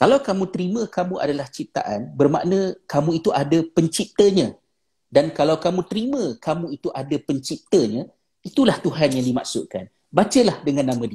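Speaking at a moderate pace, a man with a high pitch and a dark, mellow tone makes very wide pitch swings. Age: 40s. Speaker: religious teacher and author. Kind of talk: online talk with Q&A. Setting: live video stream.

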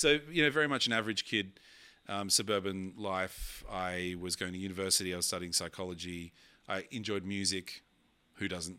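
On a very clean recording with a silent background, a man with an Australian accent speaks at a moderate pace in a very deep, low pitch with a bright, sharp tone and ordinary pitch variation. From Sydney, Australia. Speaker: keynote speaker and DJ. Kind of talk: casual chat.

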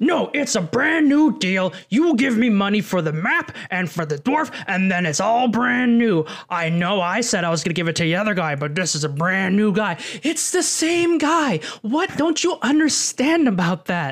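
A put-on character voice sounds gruff and fairly high-pitched, with very wide pitch swings. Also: moderate pace. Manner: commanding, argumentative.

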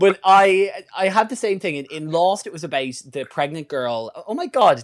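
In a very clean recording with a silent background, a man with an Irish accent talks at a moderate pace, his high voice making very wide pitch swings. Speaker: podcast co-host. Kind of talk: angry comic rant, sweary mock-outrage at a stranger. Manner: fired-up and profane, hammering repetition of 'not hustling'; rambling, stumbles and repeats words.

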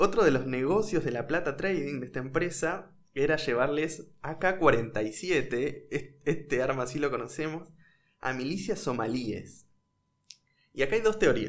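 A man's fairly high voice with a Rioplatense accent, lively intonation and audible room echo. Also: fairly slow pace. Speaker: podcast host. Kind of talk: storytelling chat.

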